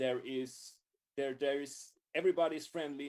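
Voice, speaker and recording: A man with a non-native accent speaks at medium pitch and a moderate pace, his intonation fairly even. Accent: noticeable foreign. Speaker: music tech YouTuber. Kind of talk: casual chat interview. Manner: repeats words, halting.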